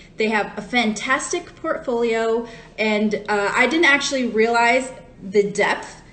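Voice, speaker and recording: With an American accent, a woman talks at a fairly high pitch and ordinary pitch variation, with noticeable background noise and audible room echo. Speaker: wine educator. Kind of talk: live-stream wine tasting talk. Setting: Instagram live stream. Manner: casual, chatty with fillers.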